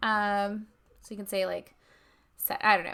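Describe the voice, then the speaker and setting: Her tone is bright and sharp, and the woman's pitch sits fairly high. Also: quiet background. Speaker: fashion instructor. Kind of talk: tutorial. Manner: casual, filler-heavy.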